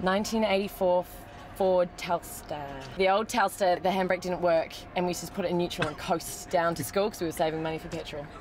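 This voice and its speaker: Over music in the background, a woman with a New Zealand accent speaks at a fairly quick pace in a fairly low voice with fairly even intonation. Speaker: television actress. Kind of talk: casual interview. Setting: in a car.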